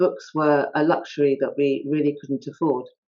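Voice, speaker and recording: At a fairly slow pace, a woman speaks with a southern English accent and a very deep, low pitch. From England, High Wycombe (born in India). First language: not English (Indian language). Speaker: author. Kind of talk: talk at online author event. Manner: hesitant, many fillers.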